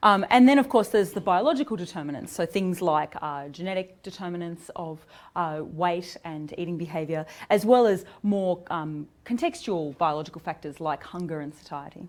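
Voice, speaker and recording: In an Australian accent, a woman with a fairly low pitch speaks with ordinary pitch variation and big swings in loudness. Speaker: psychology researcher. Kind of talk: academic seminar lecture. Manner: fast when excited, drops consonants.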